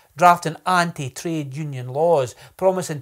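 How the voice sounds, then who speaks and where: A man with a Scottish accent, fairly high-pitched and lively in intonation, at a fairly slow pace on a very clean recording with a silent background. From Scotland, Ayrshire (New Cumnock). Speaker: poet and political candidate. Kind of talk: political speech; casual introduction to camera.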